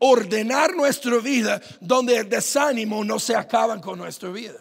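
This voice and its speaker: An animated tone against a quiet background. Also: man. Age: 30s. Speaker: pastor. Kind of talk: sermon. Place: church. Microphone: handheld.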